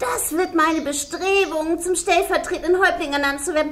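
Through clear background noise comes a voice at an extremely high pitch. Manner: excited, pompous.

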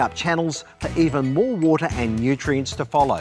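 A man at a moderate pace over faint music in the background. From Australia. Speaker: TV gardening presenter and horticulturist. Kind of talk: product demonstration narration to camera.

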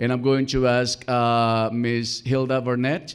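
A man with a medium pitch and a clear, smooth tone speaks slowly with little pitch movement, on a very clean recording with a silent background.

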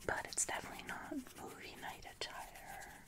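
The pace is fairly slow. A woman whispers the words. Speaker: ASMR artist. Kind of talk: ASMR roleplay as a friend, personal attention. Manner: whispered, soft, friendly. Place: home room. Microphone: earbuds.

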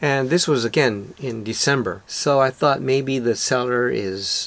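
With ordinary pitch variation, a man speaks at a fairly slow pace. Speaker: photographer vlogger. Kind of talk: casual vlog chat. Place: home room.

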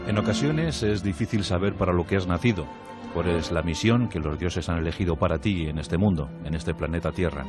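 A man speaks with a very deep, low pitch and ordinary pitch variation. Music plays in the background. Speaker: radio host and narrator. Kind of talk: radio history narration.

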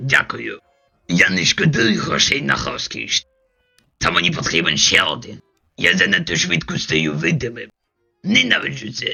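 A man puts on a raspy character voice at a medium pitch, speaking at a moderate pace. He leaves long, frequent pauses while faint music plays in the background. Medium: fan dub. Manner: smooth, self-satisfied.

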